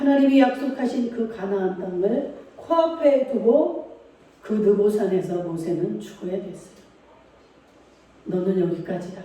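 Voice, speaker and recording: Speech comes at a fairly slow pace with long, frequent pauses, over noticeable background noise. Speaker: pastor. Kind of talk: sermon. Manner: loud, raised voice at times.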